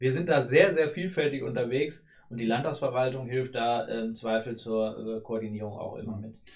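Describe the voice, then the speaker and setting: A man's somewhat breathy voice at a medium pitch, with ordinary pitch variation, big swings in loudness and a moderate pace. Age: 30s. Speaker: state politician. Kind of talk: interview. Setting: studio.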